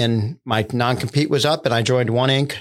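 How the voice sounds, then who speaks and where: In a very clean recording with a silent background, a man with an American accent uses an ordinary speaking voice at medium pitch, with fairly even intonation and a moderate pace. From US Northeast, central Pennsylvania. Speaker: tech executive and entrepreneur. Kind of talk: casual interview.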